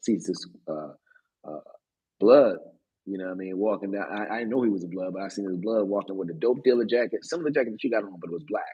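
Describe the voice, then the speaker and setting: A man talks at a very fast clip with a Baltimore accent, his pitch fairly low with ordinary variation. His loudness swings widely. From US, Baltimore, Maryland. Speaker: podcast co-host. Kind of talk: casual storytelling chat. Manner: animated, halting with fillers.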